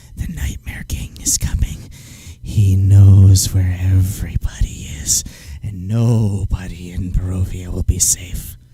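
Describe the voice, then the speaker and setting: A man whispers in a put-on character voice. He goes at a fairly slow pace. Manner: whispering.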